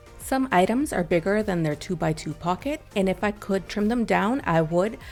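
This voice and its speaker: At a medium pitch, a woman speaks with vocal fry and lively intonation. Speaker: scrapbooking crafter. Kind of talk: tutorial. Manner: normally fast talker.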